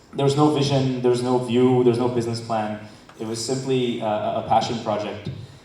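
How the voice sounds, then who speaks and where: A man with an American accent talks fairly quickly in a flat, monotone way at a medium pitch. The room echoes audibly, and background noise is noticeable. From United States. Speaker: entrepreneur, startup founder. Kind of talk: conference talk. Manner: fast; halting, many fillers and repetitions.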